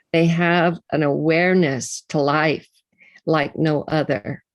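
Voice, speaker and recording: A woman talks in a very deep, low voice with vocal fry and monotone, flat intonation. The sound is dry and close with no echo, against a quiet background. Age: 70s. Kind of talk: panel talk.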